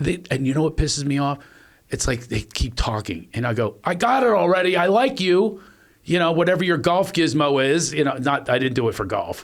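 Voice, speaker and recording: Fairly high in pitch, a man with an American accent speaks at a fairly quick pace with lively intonation. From Philadelphia. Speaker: podcast host and comedian. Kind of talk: casual chat. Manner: fast.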